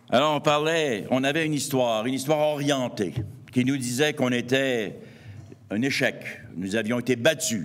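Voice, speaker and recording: Amid audible room echo, a man with a Montreal accent speaks at a fairly slow pace and medium pitch, using ordinary pitch variation and long, frequent pauses. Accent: Quebec French, Montreal. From Quebec, east Montreal. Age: 60s. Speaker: anthropologist and author. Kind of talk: lecture.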